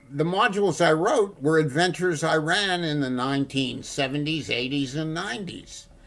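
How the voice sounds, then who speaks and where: Noticeable background noise sits behind a man's fairly high voice. He pauses hardly at all, with ordinary pitch variation. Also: moderate pace. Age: 80s+. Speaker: veteran game referee and module writer. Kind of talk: casual panel chat.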